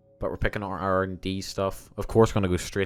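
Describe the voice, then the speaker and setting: A man's very deep, low voice at a fairly quick pace, flat and monotone, with music in the background. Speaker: gaming video creator. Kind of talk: gameplay commentary. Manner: casual, with many fillers.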